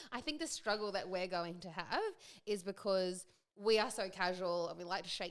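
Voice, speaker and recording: A woman talks at a fairly quick clip with an Australian accent. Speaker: podcast co-host. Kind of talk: casual chat. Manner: fast.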